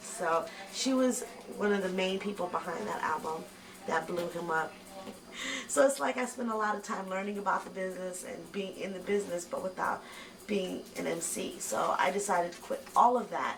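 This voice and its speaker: A woman talks at a moderate pace with ordinary pitch variation. Noticeable background noise and audible room echo fill the recording. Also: medium pitch for a woman. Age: 30s. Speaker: rapper. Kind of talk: interview.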